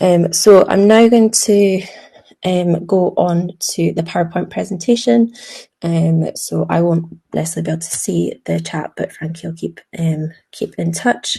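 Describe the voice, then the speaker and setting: A woman in a Scottish accent at a moderate pace. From Scotland. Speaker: emergency medicine doctor. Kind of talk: webinar presentation. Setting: video call webinar. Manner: hesitant, many filler ums.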